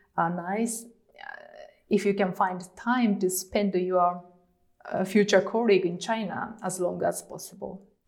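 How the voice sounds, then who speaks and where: In a Japanese accent, a woman talks at a fairly slow pace with monotone, flat intonation. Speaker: lawyer. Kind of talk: interview. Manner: halting, many fillers.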